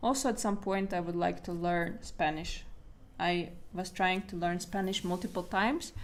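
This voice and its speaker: The pace is fairly slow. The speaker is a woman with a medium pitch. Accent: non-native. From Latvia. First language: Latvian. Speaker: artist and art coach. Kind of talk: livestream talk to viewers. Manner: halting.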